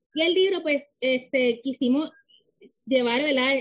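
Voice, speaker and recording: With a Puerto Rican accent, a woman speaks at a moderate pace and with lively intonation. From Puerto Rico. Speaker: author. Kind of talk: interview.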